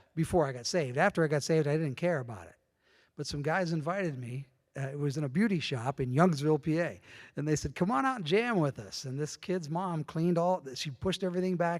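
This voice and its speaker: A man's fairly high voice with an American accent at a very fast pace, ordinary pitch variation, and a very clean recording with a silent background. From northwestern Pennsylvania. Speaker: church member sharing faith story. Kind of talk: testimony.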